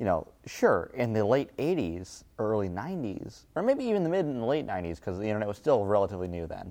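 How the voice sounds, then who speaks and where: A man's dark, mellow voice with an American accent, medium pitch, very wide pitch swings and a fairly quick pace. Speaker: podcast guest. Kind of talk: casual chat. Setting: office.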